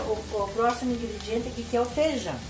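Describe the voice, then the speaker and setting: Amid noticeable background noise and audible room echo, a woman speaks at a high pitch and moderate pace. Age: 60s. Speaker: cooking channel host. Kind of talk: cooking tutorial with storytelling. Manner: conversational, folksy.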